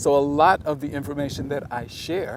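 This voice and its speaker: A man with an American accent at a medium pitch and fairly slow pace, noticeable background noise behind him. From South Carolina Lowcountry. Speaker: museum education executive. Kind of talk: interview answer. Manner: thoughtful, measured, with hesitations.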